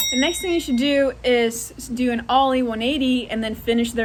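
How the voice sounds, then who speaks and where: A woman's high-pitched voice goes at a fairly quick pace against noticeable background noise. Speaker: wakeboard instructor. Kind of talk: tutorial.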